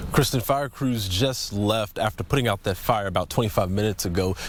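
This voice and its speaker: Amid noticeable background noise, a man with a fairly low pitch talks at a fairly quick pace with ordinary pitch variation. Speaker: TV news reporter. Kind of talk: TV news field report.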